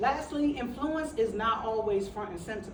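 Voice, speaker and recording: At a moderate pace, an animated speaker with an American accent uses ordinary pitch variation, with audible room echo around the voice. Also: woman. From New York, the Bronx. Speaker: motivational speaker, city employee. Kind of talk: motivational talk to a workshop audience.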